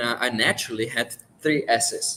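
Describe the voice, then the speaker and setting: This is a man speaking. He has a Czech accent. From Czech Republic. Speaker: livestream guest sharing life story. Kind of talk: personal testimony. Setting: livestream. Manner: halting, self-correcting.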